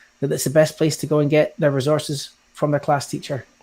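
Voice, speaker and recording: A man talks in a Scottish accent with a dark, mellow tone. His pitch sits fairly high. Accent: Scottish lilt. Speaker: digital learning lead in education. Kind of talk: webinar presentation. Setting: online webinar.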